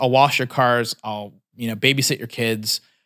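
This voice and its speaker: A man with an American accent speaks at a fairly quick pace, his pitch medium with ordinary variation. The recording is very clean, with a silent background. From California, US. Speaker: entrepreneur. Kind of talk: casual vlog advice talk. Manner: casual with many fillers and restarts.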